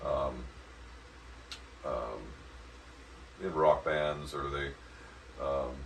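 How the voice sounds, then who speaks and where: Through audible room echo and noticeable background noise, a man speaks very slowly with long, frequent pauses. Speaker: vocal coach. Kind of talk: voice lesson. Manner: halting.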